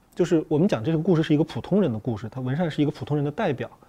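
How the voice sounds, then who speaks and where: A man with a fairly high pitch speaks with lively intonation. His tone is dark and mellow. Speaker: psychological counselor. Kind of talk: panel discussion on a film.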